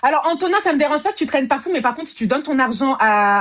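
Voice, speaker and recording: Very wide pitch swings mark the way this woman talks. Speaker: live-stream host of dating show. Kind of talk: casual live-stream chat. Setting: live video stream. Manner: fast; talkative.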